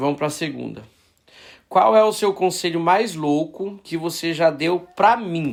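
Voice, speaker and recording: The recording is very clean and the background silent. Speech proceeds fairly slowly. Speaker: podcast host. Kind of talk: interview.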